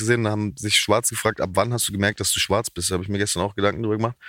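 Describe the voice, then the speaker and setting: A man with a fairly low pitch talks very fast, his intonation fairly even. The recording is very clean, with a silent background and a dry, close sound with no echo. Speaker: comedian and musician. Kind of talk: casual interview.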